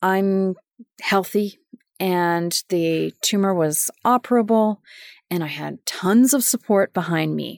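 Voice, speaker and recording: The recording is very clean, its background silent. A woman talks at a very slow pace. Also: medium pitch for a woman, ordinary pitch variation. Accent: Canadian. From Winnipeg, Manitoba, Canada. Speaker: podcast host, sustainability professional. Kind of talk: personal storytelling monologue.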